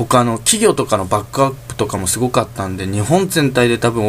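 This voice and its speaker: The speech comes at a very fast pace. Vocal fry runs through it. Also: man. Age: 20s. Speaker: solo podcaster. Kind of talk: casual monologue. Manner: halting.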